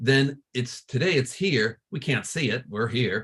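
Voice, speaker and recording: A man talks in a normal speaking voice at medium pitch and a moderate pace. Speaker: astronomy professor. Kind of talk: lecture.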